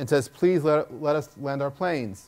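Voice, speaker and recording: Speaking with a Long Island accent, a man keeps a moderate pace. His pitch is fairly high, with ordinary variation. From Long Island, New York. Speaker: internet entrepreneur. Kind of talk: speech. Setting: stage with audience. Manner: halting, many repetitions.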